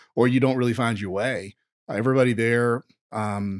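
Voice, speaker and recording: Moderate pace and ordinary pitch variation in a Southern US accent, dry and close with no echo, on a very clean recording with a silent background. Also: man. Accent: Southern US (Georgia). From US South, rural Georgia. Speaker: entrepreneur. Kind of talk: podcast interview.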